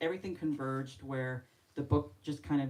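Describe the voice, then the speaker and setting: A woman with a very deep, low pitch keeps to a moderate pace. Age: 60s. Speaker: novelist. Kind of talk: author talk at book event. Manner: halting.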